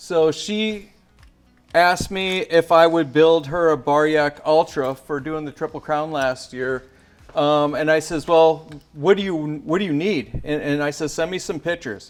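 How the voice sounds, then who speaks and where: A man with a plain, everyday voice talks at a fairly slow pace, his fairly high pitch showing ordinary pitch variation. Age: 60s. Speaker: bike gear company founder. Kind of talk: product tutorial. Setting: bike shop.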